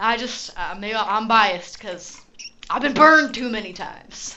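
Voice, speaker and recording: A woman with a western US accent speaks at a fairly high pitch with ordinary pitch variation. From Utah, US. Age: 20s. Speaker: gaming streamer. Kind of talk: casual live stream chat and gameplay. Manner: casual, conversational.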